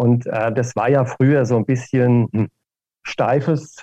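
This man has a dark, mellow tone at a medium pitch with fairly even intonation. The sound is dry and close, with no echo. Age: 60s. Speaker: wine marketing executive. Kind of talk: interview.

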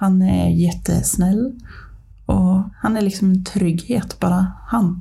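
Very slowly, a woman gets her words out. There is noticeable background noise behind her voice. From Ånge, Medelpad, northern Sweden. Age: 30s. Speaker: podcast guest, mother. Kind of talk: casual interview, personal story.

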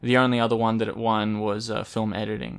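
A man speaks at a fairly quick pace with an Australian accent and a medium pitch, recorded very cleanly against a silent background. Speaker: podcast host. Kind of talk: casual chat.

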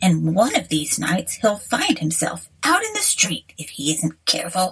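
Speaking in a put-on character voice, a woman keeps a medium pitch. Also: moderate pace. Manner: indignant.

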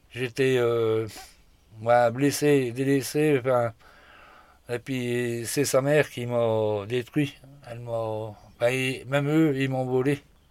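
Delivered very slowly, the speech has long, frequent pauses and a monotone, flat intonation. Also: man, medium pitch for a man. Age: 40s. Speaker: hunter on sick leave. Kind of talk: casual chat.

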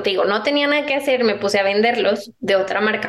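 Fairly high in pitch, a woman speaks with ordinary pitch variation in an ordinary speaking voice. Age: 20s. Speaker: entrepreneur. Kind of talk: interview conversation.

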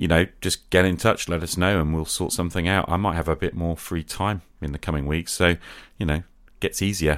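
A man with a low voice, fairly quick pace and fairly even intonation, on a very clean recording with a silent background

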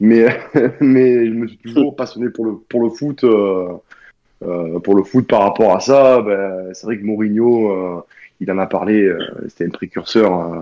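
A man's fairly low voice moves at a very slow pace, its pitch varying in an ordinary way. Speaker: former rugby player, podcast contributor. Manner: joking, playful banter.

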